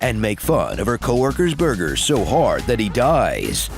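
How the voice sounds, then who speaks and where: A man at a moderate pace and very even loudness, with music in the background. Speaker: voice actor, trailer narrator. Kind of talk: movie trailer, comedic satirical narration. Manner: sarcastic, snarky, witty.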